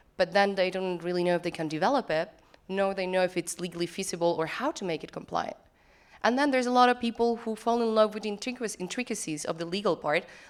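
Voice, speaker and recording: Spoken very fast with an Argentine accent, the voice shows ordinary pitch variation. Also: woman. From Argentina. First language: Spanish. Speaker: lawyer and web3 consultant. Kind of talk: conference talk. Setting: conference stage.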